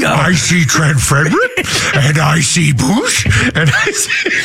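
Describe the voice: A put-on character voice speaks at a fairly slow pace over clear background noise. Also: man.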